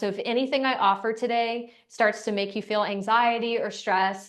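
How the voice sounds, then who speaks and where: With monotone, flat intonation, a woman speaks in a fairly high voice. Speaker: breathwork instructor. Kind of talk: guided breathing class. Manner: slow.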